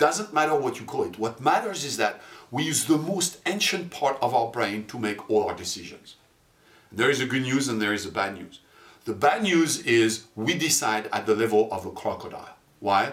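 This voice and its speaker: A man at medium pitch speaks with lively intonation against noticeable background noise. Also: moderate pace. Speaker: marketing and neuromarketing presenter. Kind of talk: corporate promo presentation. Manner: clear, explanatory.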